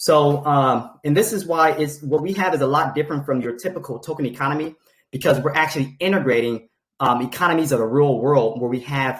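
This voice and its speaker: Somewhat breathy and fairly high-pitched, a man speaks at a fairly quick pace with ordinary pitch variation. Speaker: crypto project presenter. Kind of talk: presentation on a group call. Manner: fast.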